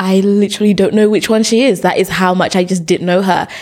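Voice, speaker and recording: Here a woman talks at a very fast pace. Her pitch is medium. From Zimbabwe, then UK from about age seven. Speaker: educational YouTuber, activist and author. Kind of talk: casual interview conversation.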